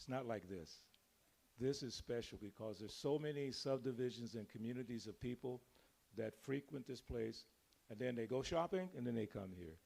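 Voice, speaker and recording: Speaking at a moderate pace, a man with a medium pitch and a dark, mellow tone shows ordinary pitch variation. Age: 70s. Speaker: temple devotee speaker. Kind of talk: devotional talk to congregation. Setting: temple room with congregation.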